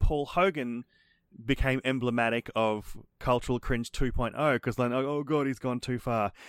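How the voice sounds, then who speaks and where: In a very clean recording with a silent background and a dry, close sound with no echo, a man speaks at medium pitch and a moderate pace with ordinary pitch variation. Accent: Australian. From Brisbane, Australia. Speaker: podcast host. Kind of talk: casual chat.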